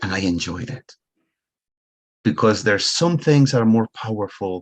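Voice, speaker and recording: Here a man with a Spanish accent speaks at a moderate pace with ordinary pitch variation. The sound is dry and close, with no echo. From Ecuador. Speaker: money coach. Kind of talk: motivational talk.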